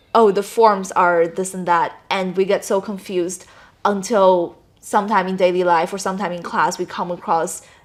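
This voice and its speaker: A woman with a Chinese accent speaks at a medium pitch and moderate pace, her intonation fairly even. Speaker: gap-year language student. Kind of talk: interview.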